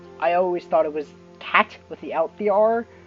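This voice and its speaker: Against music in the background, a woman speaks at a fairly slow pace with ordinary pitch variation. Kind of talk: reading a fantasy story aloud with casual asides. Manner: stumbling over words, yawning.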